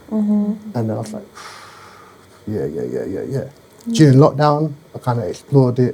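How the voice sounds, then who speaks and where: The voice pauses long and often, with a somewhat breathy quality. Its pitch swings very widely over a dark, mellow tone. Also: man, medium pitch for a man, moderate pace, big swings in loudness. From London. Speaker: poet. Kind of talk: interview answer.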